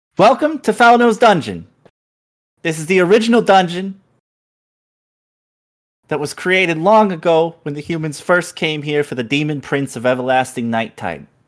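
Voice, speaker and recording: Putting on a shrill character voice, a man talks at a high pitch and a moderate pace, leaving long, frequent pauses. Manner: theatrical tour-guide welcome.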